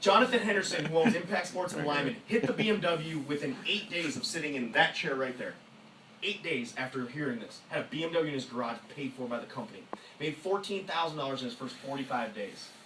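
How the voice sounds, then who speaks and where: A man talks at a fairly quick pace. Audible room echo and noticeable background noise fill the recording. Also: fairly high pitch for a man, lively intonation. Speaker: network marketing speaker. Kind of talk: motivational presentation. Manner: fast; animated.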